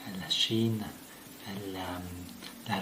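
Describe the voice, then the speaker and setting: This man talks with an Italian accent over noticeable background noise, with audible echo from the room. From Italy. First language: Italian (speaking French). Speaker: physics professor. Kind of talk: interview explanation. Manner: halting, many fillers.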